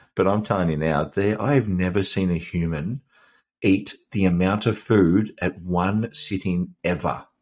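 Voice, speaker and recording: With an Australian accent, a man talks at a very deep, low pitch and a fairly slow pace, with ordinary pitch variation, on a very clean recording with a silent background. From Australia, Melbourne. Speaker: podcast host, fitness coach and former boxer. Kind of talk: casual chat.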